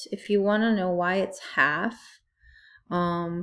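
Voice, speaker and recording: Speaking very slowly, a woman uses a fairly low voice. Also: very clean recording, silent background. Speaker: math teacher. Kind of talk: tutorial.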